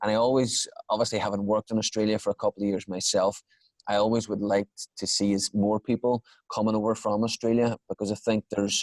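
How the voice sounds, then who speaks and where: Over a quiet background, a man talks very fast with an Irish accent. His fairly low voice is monotone and flat, in a dry, close sound with no echo. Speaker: podcast host. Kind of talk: podcast interview.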